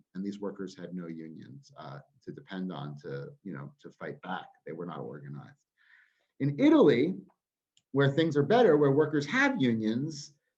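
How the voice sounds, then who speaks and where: A man with an American accent talks at a moderate pace in a fairly low pitch, with vocal fry, very wide pitch swings and big swings in loudness. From United States. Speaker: trade union campaigns director. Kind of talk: webinar talk.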